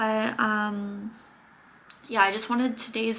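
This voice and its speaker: A woman speaks in a soft-spoken way. Her fairly high voice keeps fairly even intonation. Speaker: vlogger. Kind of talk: casual chat.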